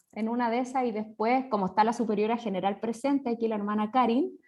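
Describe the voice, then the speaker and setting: A woman with a Chilean accent talks at a very fast pace and a high pitch. Her pitch variation is ordinary, and the background is quiet. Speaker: religious sister, seminar organizer. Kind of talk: online seminar introduction. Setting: video call.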